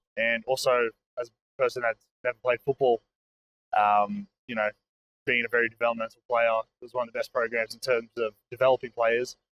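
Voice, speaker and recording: Speaking fairly quickly with an Australian accent, a man keeps a medium pitch and fairly even intonation. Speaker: college football player. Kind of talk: casual interview. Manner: halting, many fillers.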